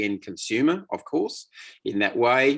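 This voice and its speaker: A man with an Australian accent, medium pitch, moderate pace and lively intonation, over a quiet background. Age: 60s. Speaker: association management consultant. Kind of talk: webinar presentation. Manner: halting.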